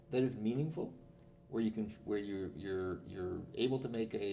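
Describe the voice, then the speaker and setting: Heard with audible room echo, a man's dark, mellow tone carries lively intonation. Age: 70s. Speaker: business professor. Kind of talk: interview.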